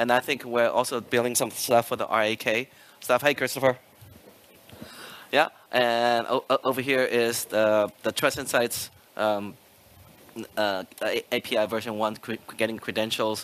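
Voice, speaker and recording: With long, frequent pauses, a man talks in a monotone, flat intonation. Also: medium pitch for a man. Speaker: product manager. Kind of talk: conference talk. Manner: fast.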